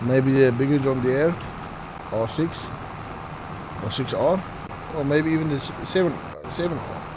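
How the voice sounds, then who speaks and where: Background noise is noticeable throughout. The delivery is fairly slow. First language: not English. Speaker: gaming video creator. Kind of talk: gameplay commentary. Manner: stuttering; casual, self-talking.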